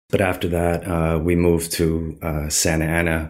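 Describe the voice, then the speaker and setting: A man with a Californian accent, very deep and low in pitch, at a very slow pace in a very clean recording with a silent background. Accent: Californian American. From Southern California. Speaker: street artist. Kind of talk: interview.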